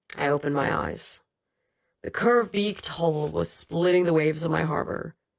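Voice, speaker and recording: A woman uses a raspy, put-on character voice with a very deep, low pitch, ordinary pitch variation and a moderate pace. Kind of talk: audiobook reading. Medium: read story.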